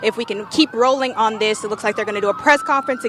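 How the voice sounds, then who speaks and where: An upbeat woman with an American accent, fairly high-pitched and very fast, against noticeable background noise. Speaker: TV news anchor and reporter. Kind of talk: live field reporter stand-up, casual and upbeat. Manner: upbeat, conversational.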